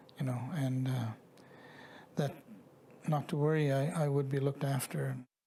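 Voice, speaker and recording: Somewhat breathy and dark, mellow in tone, a man's fairly high voice moves at a moderate pace with fairly even intonation and very even loudness. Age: 60s. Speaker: residential school survivor. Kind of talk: testimony. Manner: halting.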